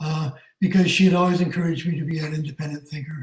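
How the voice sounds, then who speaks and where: A man speaks in a Canadian accent. His tone is dark and mellow. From southwestern Ontario, Canada (Tillsonburg). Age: 70s. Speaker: retired teacher. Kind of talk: interview.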